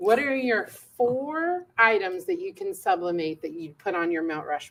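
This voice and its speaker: Loud, fairly high-pitched delivery from a woman at a fairly slow pace, with very wide pitch swings. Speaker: education manager. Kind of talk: live stream chat. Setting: live studio stream.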